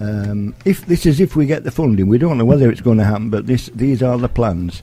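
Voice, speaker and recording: A man in a South Yorkshire accent talks with a dark, mellow tone. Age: 70s. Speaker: community group vice chairman. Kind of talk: radio interview. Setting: school. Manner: halting.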